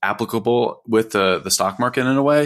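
The recording is very clean, with a silent background. This man has an unremarkable speaking voice, a moderate pace and ordinary pitch variation. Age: 30s. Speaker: financial advisor and podcast host. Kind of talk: casual chat.

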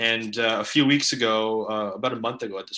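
A man's bright, sharp tone over a quiet background. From Canada. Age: 20s. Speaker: writer and student. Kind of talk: interview.

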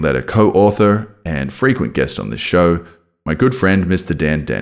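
Using a very deep, low pitch, a man talks with lively intonation and vocal fry. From Australia. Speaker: podcast host. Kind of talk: scripted intro then casual interview.

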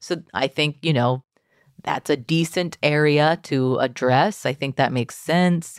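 In a very clean recording with a silent background and a dry, close sound with no echo, a woman with an American accent speaks at a fairly slow pace at a very deep, low pitch, with very even loudness and ordinary pitch variation. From Texas. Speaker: magazine staff writer. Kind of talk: casual chat.

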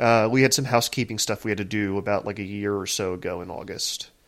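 This man has an unremarkable speaking voice, with ordinary pitch variation and a fairly quick pace. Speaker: podcast host. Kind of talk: casual chat.

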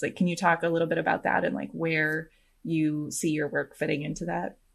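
With an American accent and a normal speaking voice, a woman talks at a fairly quick pace in a fairly low pitch over a quiet background. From US Midwest. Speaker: podcast host. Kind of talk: casual chat.

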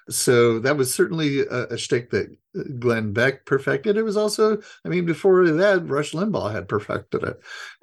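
Very wide pitch swings mark a man's fairly high voice at a moderate pace. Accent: American. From Idaho. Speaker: journalist and author. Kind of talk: interview.

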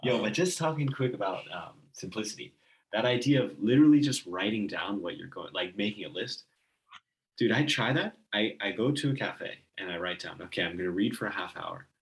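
A man's unremarkable speaking voice at a medium pitch, fairly quick in pace, with lively intonation. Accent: American. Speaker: podcast host. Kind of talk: casual chat. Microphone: computer's built-in mic, less than optimal audio.

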